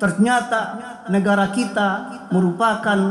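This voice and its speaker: Over light background noise and audible room echo, the speech moves at a fairly slow pace with fairly even intonation. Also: man. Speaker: preacher. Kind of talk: sermon. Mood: earnest, admonishing. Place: church. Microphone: podium.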